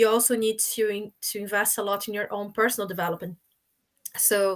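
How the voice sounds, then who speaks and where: A woman with a Portuguese accent speaks fairly quickly in a fairly high, monotone, flat voice. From Brazil. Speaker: supply chain professional. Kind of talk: panel discussion.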